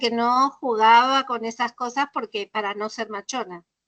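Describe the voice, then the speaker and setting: A woman speaks at a high pitch in a bright, sharp tone. The sound is dry and close, with no echo. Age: 60s. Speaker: literature workshop teacher. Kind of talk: workshop discussion. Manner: animated.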